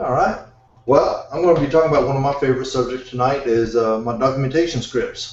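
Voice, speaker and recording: Over noticeable background noise and audible room echo, a man with an American accent talks very fast in a fairly high voice, his pitch varying in an ordinary way. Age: old. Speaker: IT consultant presenting scripts. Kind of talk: technical presentation. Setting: video call with screen share.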